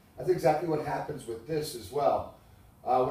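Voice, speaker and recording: A man talks with ordinary pitch variation, and audible room echo lingers around his voice. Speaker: window salesman. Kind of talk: sales pitch. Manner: fast.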